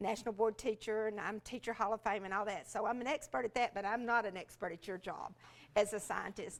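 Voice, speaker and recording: A woman with a Southern US accent speaks at a fairly high pitch on a very clean recording with a silent background. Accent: Southern US (Georgia). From US South, rural Georgia. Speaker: education specialist, former teacher. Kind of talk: workshop talk. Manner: animated.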